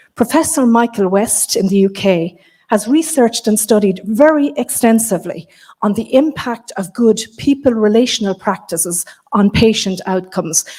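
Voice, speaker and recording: Somewhat breathy and dark, mellow in tone, a woman with an Irish accent speaks at a fairly high pitch with lively intonation. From Ireland. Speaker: keynote speaker, health service coaching lead. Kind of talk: keynote address. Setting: stage with live audience. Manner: fast.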